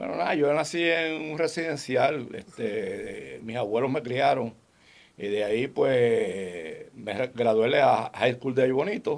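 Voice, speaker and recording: Delivered at a very slow pace, the speech has lively intonation and vocal fry. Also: man, medium pitch for a man. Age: 70s. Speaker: sports medicine specialist. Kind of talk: casual interview chat.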